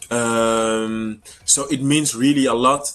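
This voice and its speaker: Against noticeable background noise, a man with a French accent speaks with ordinary pitch variation. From Congo. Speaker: singer. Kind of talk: interview. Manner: halting.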